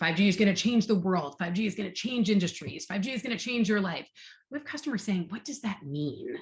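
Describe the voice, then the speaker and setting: A woman's somewhat breathy, animated voice at medium pitch, with very wide pitch swings and a fairly quick pace. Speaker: marketing executive. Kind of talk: fireside chat interview. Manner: fast.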